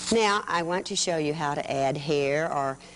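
Against light background noise, a woman with a fairly low pitch and lively intonation speaks at a moderate pace. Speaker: children's TV craft host. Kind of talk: tutorial. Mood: warm, patient. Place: studio.

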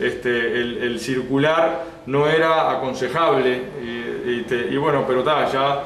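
With audible room echo and light background noise, a man speaks at a fairly slow pace, his loudness very even and his intonation fairly even. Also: medium pitch for a man. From Uruguay. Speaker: local government head. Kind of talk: interview. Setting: on location in rural town. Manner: halting, many fillers. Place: office.

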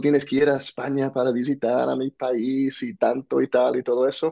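The background is quiet. A man with an American accent speaks at a fairly slow pace. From US, New Jersey. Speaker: entrepreneur and author; podcast guest. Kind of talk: interview. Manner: halting, repeats words. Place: home room. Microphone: earbuds.

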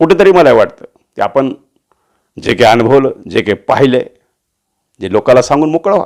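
Fairly high male voice with very wide pitch swings. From Latur, Marathwada, Maharashtra. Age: 60s. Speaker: voice artist and political commentator. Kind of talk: monologue political commentary. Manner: animated.

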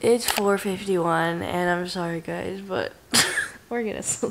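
Speech comes at a fairly slow pace. Loud background noise runs underneath. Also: woman. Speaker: vlogger. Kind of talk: casual vlog chat. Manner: sleepy, worn-out late-night voice. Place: home room. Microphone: phone near.

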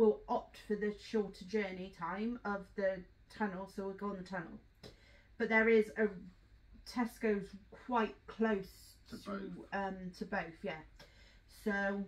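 Pausing long and often, a woman speaks at a fairly slow pace with fairly even intonation. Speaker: travel vlogger. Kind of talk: casual vlog chat. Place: home room. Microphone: camera far.

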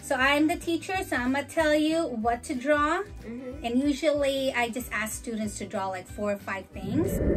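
A woman speaks with a high pitch. Clear music plays in the background. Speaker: teacher demonstrating an activity. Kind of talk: tutorial. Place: home room.

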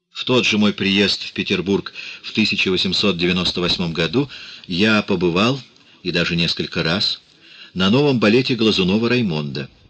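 Leaving long, frequent pauses, a man with a fairly low pitch speaks at a fairly slow pace with ordinary pitch variation. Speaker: audiobook narrator. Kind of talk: reading aloud.

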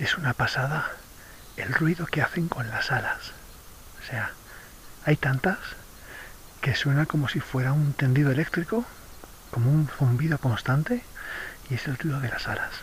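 Soft-spoken and with a Spanish accent, a man talks at a moderate pace with long, frequent pauses, in a dry recording with no echo and light background noise. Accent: Peninsular Spanish. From Spain. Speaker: travel vlogger. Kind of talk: casual vlog narration. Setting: outdoors. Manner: animated; soft-spoken, hushed. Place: forest. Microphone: phone near.

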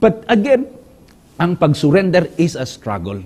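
This man's voice sits high in pitch, with very wide swings. He speaks at a fairly slow pace. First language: Hiligaynon (speaking Tagalog). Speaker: pastor and communication director; pastor teaching a Bible lesson. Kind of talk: Bible study lesson. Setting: studio. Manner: halting, many filler sounds. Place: studio. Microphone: lapel.

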